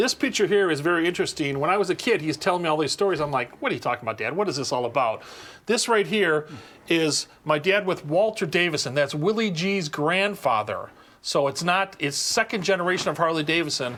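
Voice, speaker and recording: Over a very clean, silent background, a high-pitched man with an Upper Midwest accent, fairly quick and lively in intonation. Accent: Upper Midwest American. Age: 60s. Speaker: custom motorcycle seat builder. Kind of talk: casual interview in his shop. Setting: motorcycle shop.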